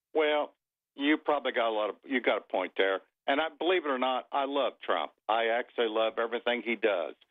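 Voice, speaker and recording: Speaking at a fairly quick pace, a man has an ordinary speaking voice at a medium pitch with ordinary pitch variation. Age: 60s. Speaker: caller, farmer. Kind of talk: call-in.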